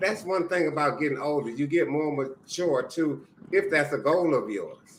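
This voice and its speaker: There is noticeable background noise as a man talks at a moderate pace. His pitch is fairly high, with ordinary variation. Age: 60s. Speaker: retired mentor. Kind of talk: casual chat.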